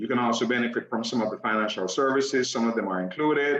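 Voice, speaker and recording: At a fairly quick pace, a man with a Jamaican accent speaks at a medium pitch with fairly even intonation. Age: 50s. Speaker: network marketing presenter. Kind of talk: sales pitch.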